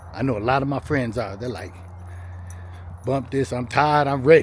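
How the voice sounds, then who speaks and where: Medium-pitched male speech at a fairly quick pace, with noticeable background noise. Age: 60s. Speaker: vlogger. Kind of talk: casual monologue. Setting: self-recorded on camera. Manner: heavy breathing; casual, conversational.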